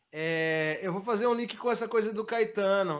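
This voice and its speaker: The recording is very clean, with a silent background. A man with a Bahian accent speaks at a high pitch with ordinary pitch variation. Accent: Bahian Brazilian Portuguese. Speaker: musician. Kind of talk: interview.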